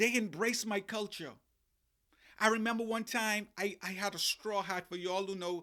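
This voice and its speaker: In a very clean recording with a silent background, a man raises and projects his high-pitched voice in a bright, sharp tone. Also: moderate pace. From Bahamas. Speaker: life coach and podcast host. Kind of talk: motivational podcast monologue. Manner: animated.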